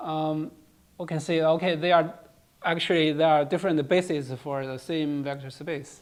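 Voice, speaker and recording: A moderate speed carries the speech. The speaker talks with a non-native accent. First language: not English. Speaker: lecturer on cryptography. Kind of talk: lecture. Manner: halting, many fillers and repetitions.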